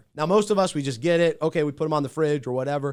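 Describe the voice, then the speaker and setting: A man with a fairly high pitch and ordinary pitch variation speaks in an ordinary speaking voice, recorded very cleanly against a silent background. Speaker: podcast host. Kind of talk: casual chat.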